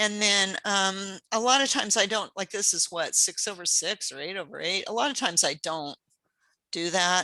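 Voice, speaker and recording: On a very clean recording with a silent background, a woman speaks at a medium pitch in a bright, sharp tone with ordinary pitch variation. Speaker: pastel painting teacher. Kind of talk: live painting demonstration. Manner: fast; casual, hesitant with fillers.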